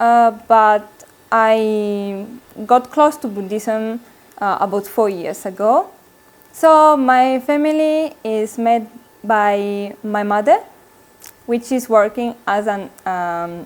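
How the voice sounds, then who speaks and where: In an Italian accent, a woman speaks at a fairly high pitch with ordinary pitch variation. Her pace is very slow, with long, frequent pauses. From Italy. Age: 20s. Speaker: Buddhist nun, university student. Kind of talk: interview. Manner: halting.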